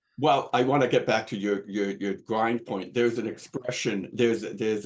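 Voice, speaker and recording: Using an unremarkable speaking voice, a man keeps a moderate pace and fairly even intonation. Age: 60s. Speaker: recovering alcoholic sharing his story. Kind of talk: testimony.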